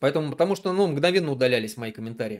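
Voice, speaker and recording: Lively intonation marks this man's fairly high voice. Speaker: political activist, streamer. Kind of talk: live stream monologue. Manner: hesitant, many fillers and restarts.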